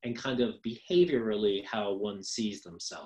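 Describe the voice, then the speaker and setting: With an American accent, a man's voice moves through very wide pitch swings. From New York. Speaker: social work professor. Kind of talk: lecture. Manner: fast; hesitant with frequent ums.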